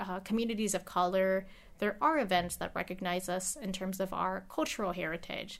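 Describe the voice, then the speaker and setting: A woman talks at a moderate pace and medium pitch, with ordinary pitch variation, in an unremarkable speaking voice. The recording is very clean, with a silent background. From United States, Filipino immigrant family. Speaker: state legislator. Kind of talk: interview. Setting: her office.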